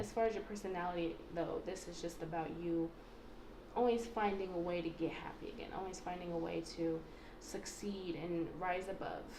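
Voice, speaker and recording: A woman with a fairly low pitch speaks in fairly even intonation. Noticeable background noise and audible room echo surround her. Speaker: tarot card reader. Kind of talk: pick-a-card tarot reading. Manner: fast; casual, filler-heavy.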